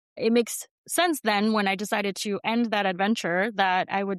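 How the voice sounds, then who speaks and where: A woman with an American accent and an unremarkable speaking voice talks at a moderate pace with medium pitch and fairly even intonation, in a dry, close sound with no echo over a quiet background. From US Northeast, New York City (Queens), Colombian family. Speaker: brand strategist. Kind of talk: interview.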